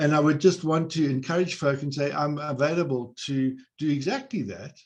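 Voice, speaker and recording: At a moderate pace, a man talks in a fairly high voice with ordinary pitch variation. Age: 60s. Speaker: psychologist supporting whistleblowers. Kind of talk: webinar panel discussion.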